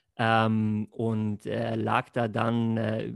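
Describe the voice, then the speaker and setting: The recording is dry and close, with no echo. A man speaks at a medium pitch. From Lake Constance region, southern Germany. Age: 30s. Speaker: network marketer. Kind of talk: podcast interview. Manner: hesitant, many fillers.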